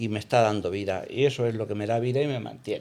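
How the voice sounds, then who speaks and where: A medium-pitched man with a dark, mellow tone, ordinary pitch variation and a moderate pace. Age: 60s. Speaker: hotel owner. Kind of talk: interview. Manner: halting, many fillers.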